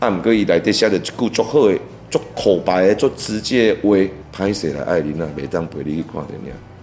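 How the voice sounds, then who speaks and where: Over music in the background, the speaker uses a Taiwanese accent at a moderate pace, with lively intonation and big swings in loudness. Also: man, very deep, low pitch for a man. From Taiwan, Tainan. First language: Taiwanese Hokkien (speaking Chinese). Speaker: veteran songwriter and music producer. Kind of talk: interview. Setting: studio.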